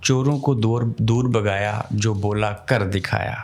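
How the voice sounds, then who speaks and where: A man's medium-pitched voice over background music. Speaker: podcast host. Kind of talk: podcast interview questions.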